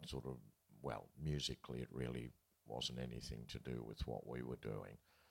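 With an Australian accent, a man speaks at a fairly slow pace in a very deep, low pitch. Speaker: festival interviewer, veteran folk musician. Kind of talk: interview on stage. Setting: live event with audience.

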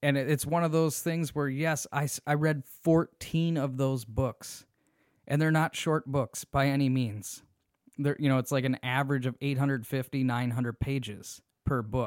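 A man speaks at a moderate pace with an American accent and fairly even intonation. His pitch is fairly high, and the sound is dry and close with no echo. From US, small town. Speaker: solo podcast host. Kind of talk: casual monologue. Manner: halting, frequent fillers and restarts.

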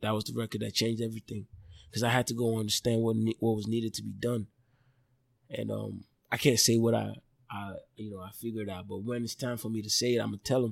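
In a dry, close sound with no echo, a man speaks at a fairly quick pace with monotone, flat intonation. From Nigeria. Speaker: Afrobeats musician. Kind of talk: casual interview.

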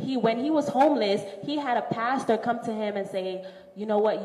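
Through noticeable background noise, a woman with an American accent speaks at a fairly high pitch. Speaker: teacher. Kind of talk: casual interview chat.

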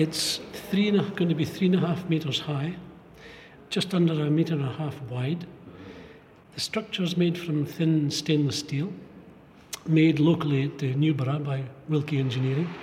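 A fairly high male voice at a moderate pace with fairly even intonation and long, frequent pauses, amid audible room echo and noticeable background noise. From Fraserburgh, north-east Scotland. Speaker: artist and stone carver. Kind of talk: casual interview. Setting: gallery remembrance hall.

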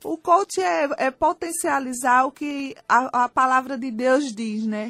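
A woman speaks with a Pernambuco accent. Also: dry, close sound with no echo. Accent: Pernambuco accent, noticeable. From Brazil, Recife (Pernambuco). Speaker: life coach. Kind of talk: radio interview. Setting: radio studio.

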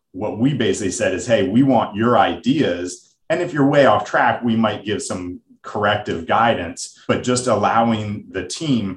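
The voice is somewhat breathy, with ordinary pitch variation and an American accent. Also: man, medium pitch for a man, moderate pace, hardly any pauses. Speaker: financial advisor. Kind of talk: casual business conversation.

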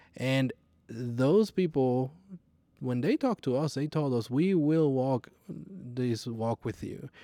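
In a Puerto Rican accent, a man with a medium pitch and dark, mellow tone speaks very slowly with ordinary pitch variation, recorded very cleanly, dry and close, with a silent background and no echo. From Puerto Rico. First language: Spanish. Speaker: flight instructor. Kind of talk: personal testimony interview.

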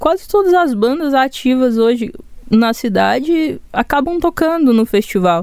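In a Goiás accent, a woman with a dark, mellow tone speaks with very wide pitch swings. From Goiânia, Brazil. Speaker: singer-songwriter. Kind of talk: casual interview chat. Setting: studio.

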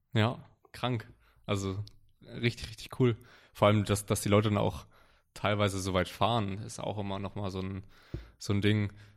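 On a very clean recording with a silent background, a man with a fairly low voice talks at a moderate pace with fairly even intonation and long, frequent pauses. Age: 20s. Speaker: powerlifter and online coach. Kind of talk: casual chat. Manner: halting, many fillers and repetitions.

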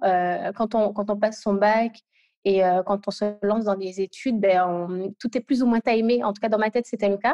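A dark, mellow tone at a moderate pace, with ordinary pitch variation, a quiet background, and a dry, close sound with no echo. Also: woman. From Guadeloupe. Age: 20s. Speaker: UX product designer. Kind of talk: interview. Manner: halting.

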